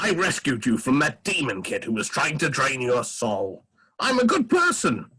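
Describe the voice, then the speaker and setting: A man's put-on character voice, fairly high-pitched, with very wide pitch swings at a moderate pace. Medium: game stream.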